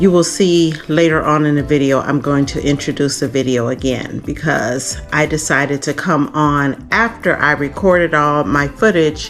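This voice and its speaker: Music plays in the background while the speaker uses ordinary pitch variation. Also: woman. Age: 60s. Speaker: lifestyle vlogger. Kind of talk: casual talk to camera. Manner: chatty.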